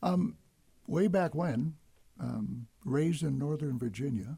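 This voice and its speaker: A man with a Midwestern American accent, somewhat breathy, dark and mellow in tone, fairly high in pitch, with lively intonation, a very slow pace and long, frequent pauses. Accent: Midwestern American, radio voice. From US, Detroit. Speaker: radio host. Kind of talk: radio interview. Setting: radio studio.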